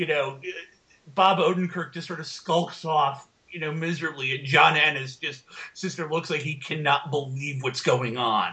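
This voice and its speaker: With an American accent, the speaker goes fairly slowly in a bright, sharp tone, loudness swinging widely and pitch varying in an ordinary way. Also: man. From United States. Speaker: podcast co-host. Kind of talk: casual chat.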